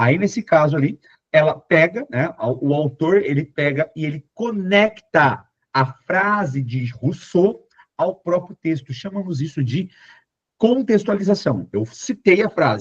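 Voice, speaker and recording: Fairly slow and fairly high-pitched, a man talks with lively intonation in a dry, close sound with no echo. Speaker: Portuguese teacher for exam prep. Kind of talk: lecture. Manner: animated.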